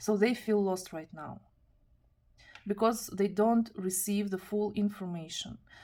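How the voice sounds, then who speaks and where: A woman's fairly slow, fairly even speech at a medium pitch, with a non-native accent. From Kazakhstan. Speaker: tarot reader. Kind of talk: tarot reading monologue. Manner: halting, with self-corrections.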